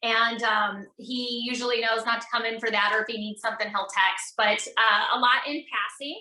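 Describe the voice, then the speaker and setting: A woman with an American accent talks at a moderate pace and fairly high pitch, with hardly any pauses. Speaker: network marketing entrepreneur, podcast guest. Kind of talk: casual interview. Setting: video call from home office. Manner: loud; animated.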